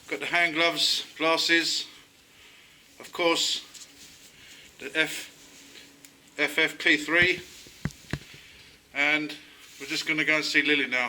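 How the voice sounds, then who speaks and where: Amid noticeable background noise, a man talks in a fairly high pitch with monotone, flat intonation, big swings in loudness and long, frequent pauses. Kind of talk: casual talk to camera.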